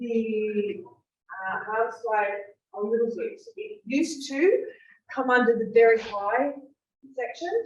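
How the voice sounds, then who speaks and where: This woman speaks with an Australian accent. Her pitch varies in an ordinary way. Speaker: fire safety presenter. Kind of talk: presentation to an audience.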